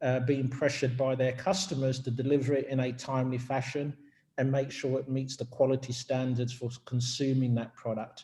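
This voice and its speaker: A man with a British accent speaks at a fairly quick pace in a medium pitch, his delivery monotone and flat. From UK. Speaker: business executive. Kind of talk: company info session presentation.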